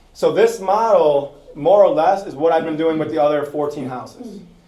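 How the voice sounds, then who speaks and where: With audible room echo, a man speaks in a dark, mellow tone at a fairly high pitch. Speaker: real estate investor. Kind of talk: presentation to an audience. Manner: fast.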